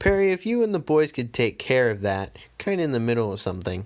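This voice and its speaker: A man's put-on character voice, growling at a medium pitch, with very wide pitch swings and a very fast pace. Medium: read story. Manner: snarling, bossy.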